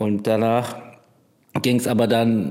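A man speaking at a very slow pace. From Bremerhaven, northern Germany. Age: 30s. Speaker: container port driver. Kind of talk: casual conversation. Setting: separate rooms, connected via headphones.

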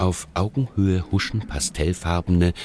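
There is vocal fry in this man's voice as he speaks at a fairly slow pace. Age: 50s. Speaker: radio feature author. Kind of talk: scripted narration.

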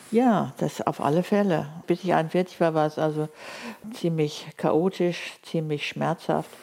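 A woman talks very slowly with a very deep, low pitch and ordinary pitch variation. Noticeable background noise runs underneath. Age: 70s. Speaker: linguist and author. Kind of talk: interview. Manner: quiet, not loud.

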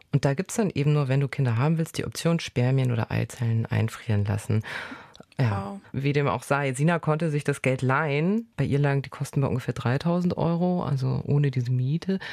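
Lively intonation at a fairly quick pace, with very even loudness. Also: woman, very deep, low pitch for a woman. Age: 30s. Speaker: journalist and podcast host. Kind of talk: casual conversation and reportage narration. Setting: in a car.

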